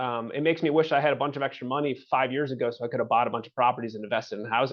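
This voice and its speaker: Speaking very fast, the man keeps his voice at a medium pitch. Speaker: housing agency director. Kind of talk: webinar presentation. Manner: halting, many fillers.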